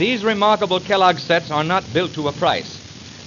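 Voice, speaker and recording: A high-pitched man, varying his pitch in an ordinary way, talks at a moderate speed while noticeable noise fills the background. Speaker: radio announcer. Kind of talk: radio product demonstration narration. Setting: old 1929 78 rpm record recording.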